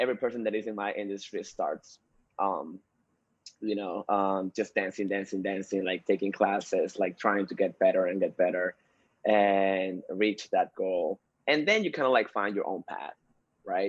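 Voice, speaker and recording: Here a man speaks at a moderate pace. He has a Spanish accent. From Peru. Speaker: dancer and dance instructor. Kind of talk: interview.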